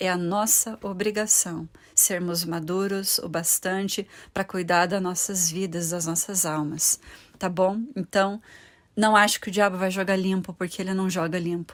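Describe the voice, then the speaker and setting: Woman's medium-pitched, flat monotone at a fairly slow pace, on a very clean recording with a silent background. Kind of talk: bible teaching video. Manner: ironic at times.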